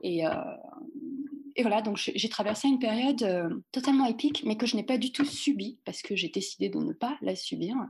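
A woman with a high-pitched voice talks at a moderate pace, her intonation lively and her speech almost free of pauses. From France. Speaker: dancer and dance teacher. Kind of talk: casual interview. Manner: halting, many fillers.

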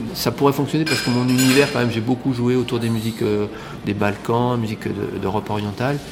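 There is noticeable background noise as a man of medium pitch talks very fast with fairly even intonation. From France, Lyon area. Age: 50s. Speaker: clarinettist and music teacher. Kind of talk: interview. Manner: hesitant, many fillers.

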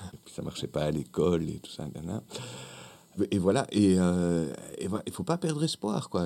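At a moderate pace, a man speaks in a very deep, low pitch with a dark, mellow tone. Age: 40s. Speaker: actor and clown. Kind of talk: radio interview. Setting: radio studio.

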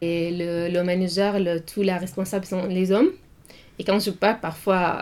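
Medium-pitched speech from a woman, its intonation fairly even. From Syria. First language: Arabic (speaking French). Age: 20s. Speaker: student. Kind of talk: interview. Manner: halting.

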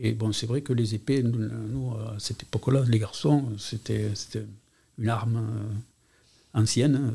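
With a Catalan accent, a man speaks at medium pitch and a fairly slow pace. His dark, mellow tone is somewhat breathy, and his intonation is fairly even. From Montpellier, France. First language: Catalan (speaking French). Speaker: retired school administrator. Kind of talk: testimony. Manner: halting.

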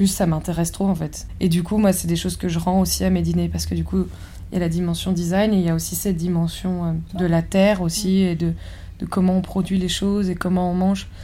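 Fairly quick speech from a woman, with audible echo from the room. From rural France. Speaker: architect and chef. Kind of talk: interview. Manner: halting.

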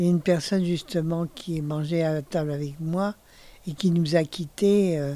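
A woman with a fairly low pitch and a dark, mellow tone speaks at a moderate pace with fairly even intonation. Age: 70s. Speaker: retirement home resident. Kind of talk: interview. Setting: her bedroom in a retirement home. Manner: halting.

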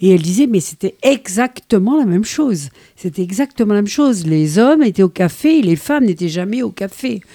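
In a dry, close recording with no echo, a woman with a dark, mellow tone and medium pitch talks at a fairly quick pace, her pitch swinging very widely. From Algeria. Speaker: retired teacher, activist. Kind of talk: radio interview. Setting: on location outside the studio.

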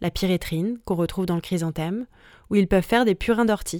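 On a very clean recording with a silent background, a woman with a medium pitch and a dark, mellow tone speaks at a fairly quick pace with ordinary pitch variation. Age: 20s. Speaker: podcast host. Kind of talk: scripted narration.

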